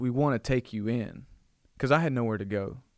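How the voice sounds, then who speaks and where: Captured in a very clean recording with a silent background, a man with an Alabama accent talks at a fairly quick pace and medium pitch. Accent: Southern US (Alabama). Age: 20s. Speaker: church youth pastor. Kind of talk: casual chat. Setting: studio.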